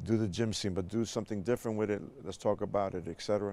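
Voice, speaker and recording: A man with a New York accent talks at a very fast pace. His pitch is fairly low, and his intonation is fairly even. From New York City, South Bronx. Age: 60s. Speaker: jazz bandleader and music educator. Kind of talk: interview conversation.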